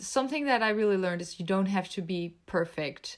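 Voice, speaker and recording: The recording is very clean, with a silent background. A woman with a medium-pitched voice speaks with lively intonation. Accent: Dutch. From Netherlands. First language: Dutch. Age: 20s. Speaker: YouTuber. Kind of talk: casual chat.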